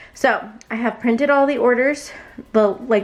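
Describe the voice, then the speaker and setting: The speaker's pitch varies in an ordinary way, and there is noticeable background noise. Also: woman. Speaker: small business owner vlogger. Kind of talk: casual vlog narration. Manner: casual, filler words.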